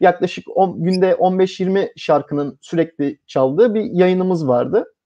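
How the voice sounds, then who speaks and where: A man with a high pitch and a dark, mellow tone speaks at a moderate pace. The sound is dry and close, with no echo. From Turkey, Samsun/Amasya area. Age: 30s. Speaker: local radio operator, engineer. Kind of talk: live interview. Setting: live online broadcast.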